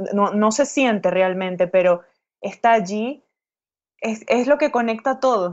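This woman's voice sits at a fairly high pitch, with ordinary pitch variation. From Venezuela, Caracas. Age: 30s. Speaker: writer. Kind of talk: interview. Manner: halting.

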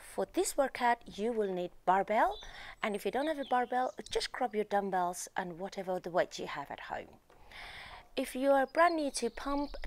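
A woman speaks at a moderate pace with a high pitch. Her voice makes very wide pitch swings. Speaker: fitness instructor. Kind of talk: workout instruction. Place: garden. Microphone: lapel.

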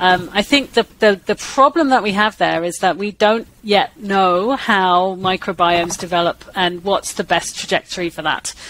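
At a moderate pace and with hardly any pauses, a woman speaks at medium pitch with ordinary pitch variation, in a dry sound with no echo and light background noise. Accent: English. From England. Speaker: microbiology professor. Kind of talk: interview. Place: home room. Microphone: headset.

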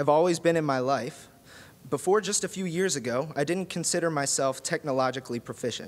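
With an unremarkable speaking voice, a man talks at a fairly quick pace in a fairly high pitch with ordinary pitch variation. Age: 20s. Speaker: music technology designer and research assistant. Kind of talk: prepared talk. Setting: stage with audience. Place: hall. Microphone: podium.

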